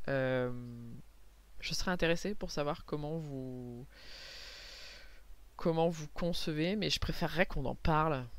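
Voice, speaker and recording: Her pitch is very deep and low, with ordinary variation, as this woman talks at a fairly slow pace. Long, frequent pauses break up her speech. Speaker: comic book artist and vlogger. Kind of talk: casual vlog talk. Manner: hesitant, many fillers and repetitions.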